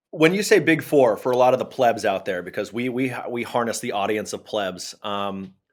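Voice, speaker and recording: With a plain, everyday voice, a man speaks at a moderate pace and medium pitch with hardly any pauses. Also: lively intonation. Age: 30s. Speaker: podcast host. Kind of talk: casual chat.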